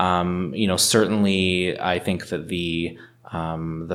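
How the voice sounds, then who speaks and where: Here a man speaks with a Canadian accent. His pitch is very deep and low. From Northern Ontario, Canada. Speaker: lawyer and municipal councillor. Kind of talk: interview.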